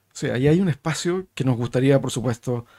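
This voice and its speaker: Over a quiet background, a man speaks in a dark, mellow tone at a moderate pace. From Chile. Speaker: podcast host, think tank director; podcast host. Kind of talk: interview conversation. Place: studio. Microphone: studio mic.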